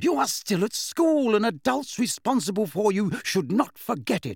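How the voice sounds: In a put-on character voice, a man speaks at a high pitch with big pitch swings. His tone is slightly mellow, with vocal fry and a slightly husky edge. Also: moderate pace, very clean recording, silent background.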